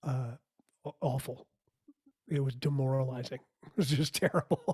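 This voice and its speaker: Somewhat breathy and with fairly even intonation, a man's voice shows big swings in loudness in a dry, close sound with no echo. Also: medium pitch for a man, moderate pace. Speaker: musician and theatre performer. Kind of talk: podcast interview.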